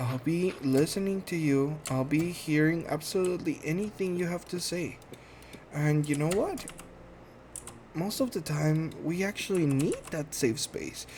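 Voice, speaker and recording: Over noticeable background noise, a man with a fairly high pitch speaks at a fairly slow pace. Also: ordinary pitch variation. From Guatemala. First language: Spanish. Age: 30s. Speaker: podcast host, medical assistant. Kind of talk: casual monologue introduction. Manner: halting, many fillers.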